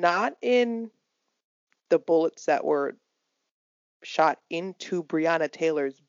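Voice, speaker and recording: Very slowly, a woman speaks in a fairly low voice with lively intonation. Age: 20s. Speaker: podcast co-host. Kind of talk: casual chat.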